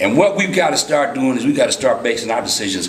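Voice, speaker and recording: A man talks amid light background noise, and the room echo is audible. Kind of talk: public meeting remarks. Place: meeting room.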